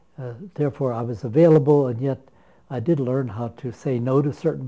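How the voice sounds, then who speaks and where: A man with a medium pitch speaks at a moderate pace with ordinary pitch variation. His tone is dark and mellow, and somewhat breathy. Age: 90s. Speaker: retired pastor. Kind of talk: interview. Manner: halting, with many repetitions and fillers.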